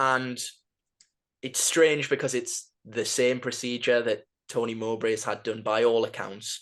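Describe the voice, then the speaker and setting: Against a quiet background, a man with a Geordie accent speaks in a flat, monotone way. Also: medium pitch for a man. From northern England, Newcastle. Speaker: football podcast host. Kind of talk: podcast chat. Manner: halting.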